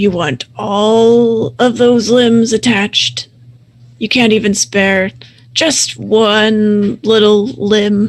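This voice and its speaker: A put-on, gruff character voice, female-sounding, fairly high in pitch, at a very slow pace. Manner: menacing, taunting.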